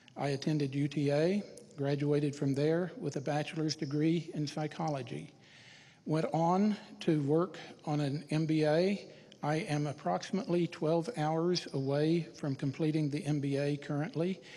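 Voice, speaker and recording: The speaker has a Texan accent and keeps a moderate pace. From Texas, Irving. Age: 60s. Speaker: city council candidate. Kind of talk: candidate forum speech. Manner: formal.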